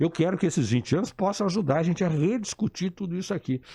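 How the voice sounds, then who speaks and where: The recording is very clean, its background silent. A man moves through his words at a fairly quick pace. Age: 60s. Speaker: engineer and political activist. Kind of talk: radio interview. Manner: animated.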